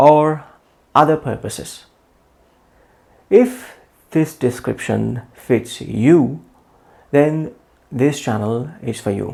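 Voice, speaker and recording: A man with a non-native accent, at a very slow pace. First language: not English. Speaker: English teacher. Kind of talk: channel introduction.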